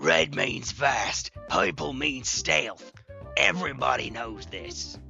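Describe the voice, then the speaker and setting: A man's put-on character voice, very deep and low, with very wide pitch swings at a very slow pace over clear music in the background. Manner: loud, full volume.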